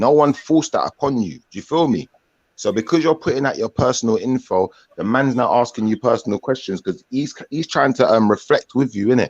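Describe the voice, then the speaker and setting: A man with a London accent at a medium pitch, ordinary pitch variation and fairly quick pace, in a dry, close sound with no echo. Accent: London multicultural English. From Jamaican heritage, England. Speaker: livestream host. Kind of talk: live online panel chat. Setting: livestream video call.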